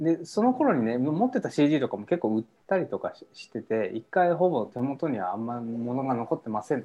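Fairly high in pitch, this man's voice has a dark, mellow tone and lively intonation. He keeps a moderate pace with hardly any pauses. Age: 30s. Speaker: musician. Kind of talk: casual chat. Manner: halting, many fillers.

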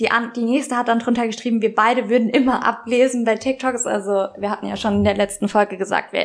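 A woman's fairly high voice, flat and monotone, at a fairly quick clip with hardly any pauses, over noticeable background noise. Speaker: podcast co-host. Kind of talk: casual chat. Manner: natural, conversational.

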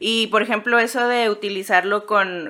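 In a Mexican accent, a woman speaks with a bright, sharp tone and ordinary pitch variation. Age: 30s. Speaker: podcaster on mycology, comedian. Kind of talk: casual chat.

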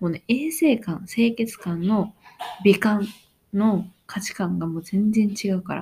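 A woman speaks very slowly at a medium pitch, with a dark, mellow tone. Her pitch varies in an ordinary way. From Japan. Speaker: podcaster on working holiday, cafe worker. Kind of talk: casual solo monologue. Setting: home at night. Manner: loud.

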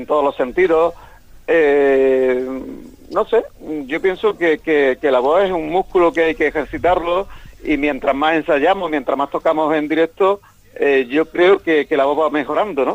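Here is an unremarkable speaking voice with ordinary pitch variation. The pace is fairly slow. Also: man, fairly high pitch for a man. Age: 60s. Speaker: rock singer. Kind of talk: interview.

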